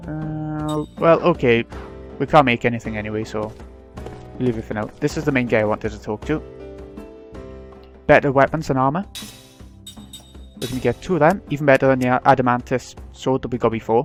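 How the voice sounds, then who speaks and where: Quiet, with music in the background, a man at a medium pitch talks at a fairly quick pace with ordinary pitch variation and long, frequent pauses. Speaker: let's play gamer. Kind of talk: casual gameplay commentary.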